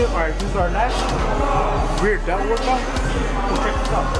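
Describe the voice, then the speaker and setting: With loud music in the background, this man keeps a moderate pace. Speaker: fitness vlogger. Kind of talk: tutorial. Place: gym. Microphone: phone near.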